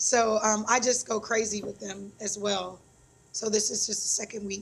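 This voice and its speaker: The pace is fairly slow. A woman talks in a somewhat breathy voice. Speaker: computer science teacher. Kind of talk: casual interview.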